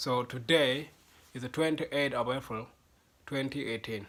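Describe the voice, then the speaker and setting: A man's bright, sharp tone in a South Sudanese accent, with fairly even intonation. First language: Dinka. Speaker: language teacher. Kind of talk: tutorial. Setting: home video recorded to camera. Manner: halting.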